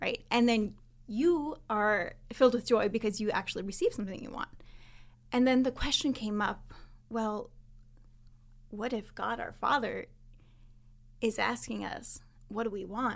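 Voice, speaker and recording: A woman with an ordinary speaking voice talks at a moderate pace, her fairly high pitch moving with ordinary variation. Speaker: mastermind participant. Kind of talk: casual chat.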